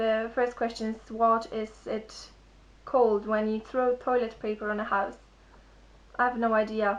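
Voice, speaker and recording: A woman with a non-native accent speaks at a moderate pace and fairly high pitch. Her intonation is monotone and flat. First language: not English. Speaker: vlogger. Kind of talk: vlog, accent tag reading word list. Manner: halting, repeats words.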